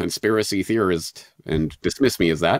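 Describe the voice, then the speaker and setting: This man has a Canadian accent, captured in a very clean recording with a silent background. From western Canada, Calgary. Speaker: podcaster and independent journalist. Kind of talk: interview.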